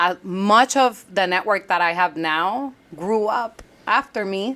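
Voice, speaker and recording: A loud woman's voice at medium pitch, in a Puerto Rican accent, at a very slow pace with ordinary pitch variation. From Puerto Rico. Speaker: entrepreneur, former congressional staffer. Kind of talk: interview conversation.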